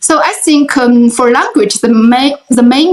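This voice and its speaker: High pitch from a woman, with ordinary pitch variation. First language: Chinese. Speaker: life coach and writer. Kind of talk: interview. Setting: video call. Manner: halting.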